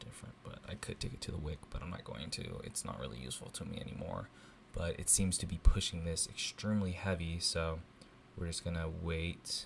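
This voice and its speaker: A man's very deep, low voice with vocal fry at a fairly quick pace. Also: ordinary pitch variation. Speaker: forex trader streaming live. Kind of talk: live trading commentary. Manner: quiet, not talking loud; casual, many fillers.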